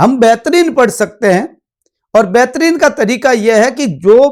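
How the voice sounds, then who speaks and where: Lively intonation in a dry, close sound with no echo. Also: man. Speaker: political science teacher. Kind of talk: lecture. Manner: direct, plain-spoken.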